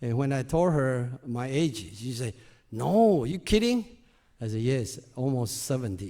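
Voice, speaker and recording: The tone is dark and mellow, with very wide pitch swings. The speaker has a Chinese accent and keeps a moderate pace. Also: man. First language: Mandarin. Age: 60s. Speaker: volunteer speaker. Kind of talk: talk to audience. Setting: stage with audience.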